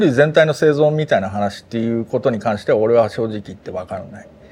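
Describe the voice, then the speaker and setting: His pace is very fast and his intonation lively. The man's tone comes across as dark and mellow. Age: 50s. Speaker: podcast co-host. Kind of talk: casual chat.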